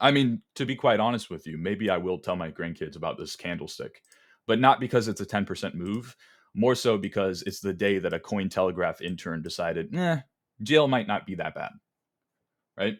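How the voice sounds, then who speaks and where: This man speaks at a moderate pace with a fairly low pitch and lively intonation. The recording is very clean, with a silent background. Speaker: crypto trader streamer. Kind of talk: livestream market commentary. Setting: livestream in private discord. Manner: casual, stumbling over words.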